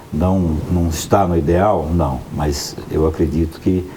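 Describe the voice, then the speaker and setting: A man's very deep, low voice with fairly even intonation, audible room echo and noticeable background noise. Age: 60s. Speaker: news commentator. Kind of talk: panel discussion.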